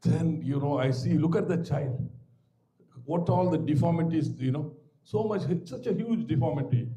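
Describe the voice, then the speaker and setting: A Tamil Indian accent at a moderate pace, ordinary pitch variation, with audible room echo. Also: man. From Tamil Nadu village, India. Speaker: maxillofacial surgeon and professor. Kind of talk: guest lecture. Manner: conversational, digressive.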